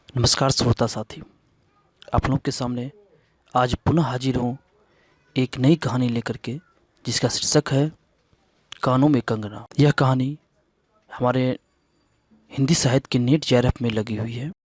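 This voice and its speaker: A man speaks at a medium pitch with fairly even intonation, taking long, frequent pauses in a dry, close sound with no echo. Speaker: story narrator. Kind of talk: literature lesson introduction.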